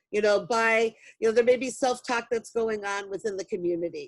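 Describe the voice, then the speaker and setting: A woman talks with an unremarkable speaking voice at a fairly high pitch. Her pace is moderate. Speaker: mental health trainer. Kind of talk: virtual training presentation.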